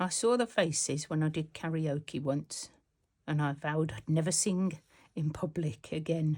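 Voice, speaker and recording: With a Birmingham accent, a woman speaks at a moderate pace in a very deep, low pitch with ordinary pitch variation, on a very clean recording with a silent background. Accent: Brummie. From Birmingham, England. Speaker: textile art youtuber. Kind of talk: casual tutorial. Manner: chatty.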